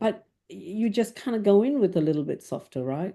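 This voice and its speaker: A dark, mellow tone at a fairly slow pace, with ordinary pitch variation over a quiet background. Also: woman. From Malaysia. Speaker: IT executive. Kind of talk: interview. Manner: clear and loud.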